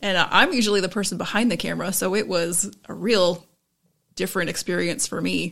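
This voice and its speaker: A woman talks at a fairly quick pace with vocal fry. Her pitch is medium and her intonation fairly even. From Florida, Tampa. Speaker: arts and culture show creator. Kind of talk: casual interview.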